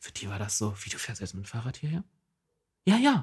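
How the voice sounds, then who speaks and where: Pitch swings very widely as a man speaks at a fairly quick pace. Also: very clean recording, silent background. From eastern Saxony-Anhalt, Jessen. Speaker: podcast co-host, local traffic activist. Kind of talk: casual chat.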